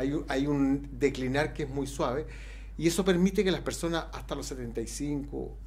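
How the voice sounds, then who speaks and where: The speech has a moderate pace and audible room echo. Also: man. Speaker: expert on ageing. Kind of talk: radio interview.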